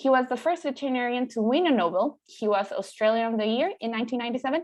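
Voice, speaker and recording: In a Spanish accent, a woman with a high pitch talks at a very fast pace using ordinary pitch variation. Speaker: veterinary student, event host. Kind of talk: formal introduction. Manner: formal.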